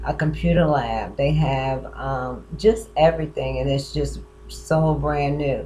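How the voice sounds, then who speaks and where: Music plays behind the speaker. She, a woman, talks at a fairly slow pace. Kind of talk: casual vlog chat. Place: home room. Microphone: webcam.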